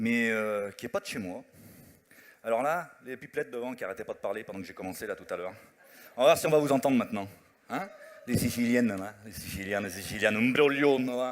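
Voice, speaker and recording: An animated man talks at a fairly quick pace with big swings in loudness. His medium pitch varies in an ordinary way. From Italian family, not Sicilian. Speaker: musical comedian. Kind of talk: stand-up with songs. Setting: stage with audience.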